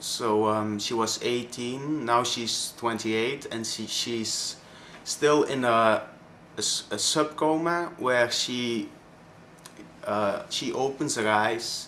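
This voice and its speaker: Speaking at a very slow pace, a man with a Flemish Belgian accent has a bright, sharp tone. Room echo is audible. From Belgium (Flanders). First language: Dutch (Flemish). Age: 20s. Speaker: vlogger. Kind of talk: personal testimony vlog. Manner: halting, many fillers.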